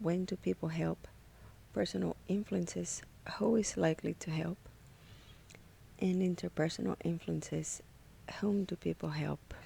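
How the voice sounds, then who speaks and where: A woman with a non-native accent speaks with long, frequent pauses. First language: not English. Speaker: graduate psychology student. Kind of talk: class presentation. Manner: slow and careful.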